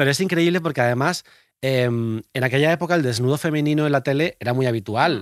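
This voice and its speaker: A man's fairly high voice, a normal speaking voice, at a fairly quick pace, dry and close with no echo, on a very clean recording with a silent background. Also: ordinary pitch variation. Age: 30s. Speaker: podcast host. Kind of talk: casual chat. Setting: studio.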